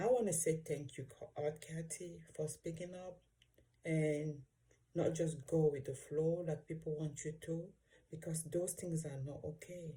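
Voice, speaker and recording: At a fairly slow pace, a woman with an African accent speaks at a very deep, low pitch, her voice somewhat breathy and her intonation fairly even. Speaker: vlogger. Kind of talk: reaction video monologue. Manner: halting.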